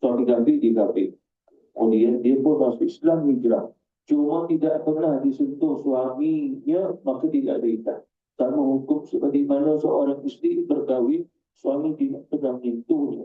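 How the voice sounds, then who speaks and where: The loudness of this man's voice barely changes at all. He keeps to a moderate pace. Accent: Malaysian. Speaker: Islamic religious teacher. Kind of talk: Quran exegesis lecture.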